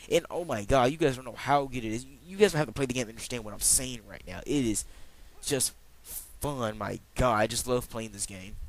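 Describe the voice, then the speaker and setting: With vocal fry and an animated tone, a man talks at a fairly quick pace, his loudness swinging widely. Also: medium pitch for a man, ordinary pitch variation. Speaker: video game reviewer. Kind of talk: casual video game review. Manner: fast.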